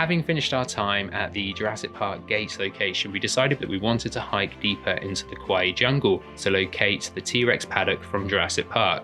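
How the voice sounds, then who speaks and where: Lively intonation from a man with a fairly low voice, with music in the background. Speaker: filmmaker. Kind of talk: documentary voice-over narration.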